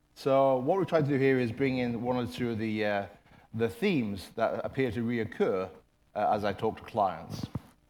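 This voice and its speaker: His intonation is lively. The room echo around the man is audible. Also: medium pitch for a man, moderate pace. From Ireland. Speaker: management consultant and former corporate IT executive. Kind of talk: conference presentation.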